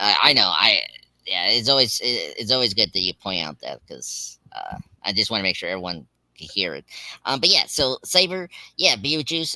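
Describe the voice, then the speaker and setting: A man's bright, sharp voice at medium pitch with vocal fry, very wide pitch swings and big swings in loudness, at a moderate pace, dry and close with no echo. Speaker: pop culture live stream host. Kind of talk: casual chat. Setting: live stream from bedroom. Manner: halting. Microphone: laptop with work headphones mic.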